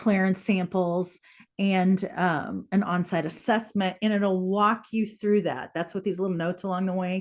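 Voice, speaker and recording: Against a quiet background, a woman speaks in a plain, everyday voice at medium pitch. Her intonation is fairly even and her pace moderate. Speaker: public water supply presenter. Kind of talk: webinar presentation.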